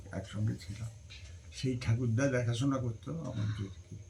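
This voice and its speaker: A man's dark, mellow voice sounds somewhat breathy and has ordinary pitch variation. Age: old. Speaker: grandfather. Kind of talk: interview answer, family storytelling.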